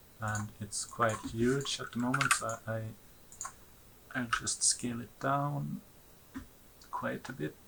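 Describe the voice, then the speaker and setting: With a non-native accent, the speaker talks at a very slow pace with lively intonation and long, frequent pauses over noticeable background noise. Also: man, medium pitch for a man. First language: not English. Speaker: 3D animation tutorial maker. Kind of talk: tutorial. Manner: halting, with frequent fillers; casual.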